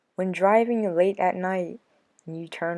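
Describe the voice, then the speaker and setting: A woman's voice has a dark, mellow tone at a fairly slow pace. The recording is very clean with a silent background. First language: American Sign Language. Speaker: vlogger. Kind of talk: casual vlog talk to viewers.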